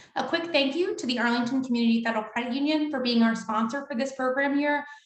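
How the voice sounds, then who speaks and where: Very fast speech with ordinary pitch variation and audible room echo. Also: woman. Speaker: event moderator. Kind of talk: virtual event moderation. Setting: video call.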